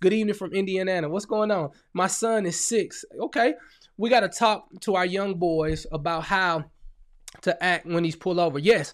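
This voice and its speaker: A man with a high voice talks at a moderate pace in an animated tone. His pitch varies in an ordinary way, and the recording is very clean with a silent background. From US Midwest, St. Louis, Missouri. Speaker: ministry leader and radio host. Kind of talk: live stream Q&A and message.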